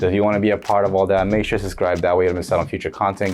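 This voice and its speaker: Fairly low-pitched man with an American accent over music in the background. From United States. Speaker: football shirt collector, video creator. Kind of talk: casual show-and-tell vlog. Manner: casual, rambling.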